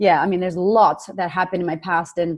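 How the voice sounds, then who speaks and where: Against a quiet background, a woman with a Boston accent talks at a fairly quick pace and a fairly low pitch. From Boston, US. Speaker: confidence coach, online entrepreneur. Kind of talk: podcast interview.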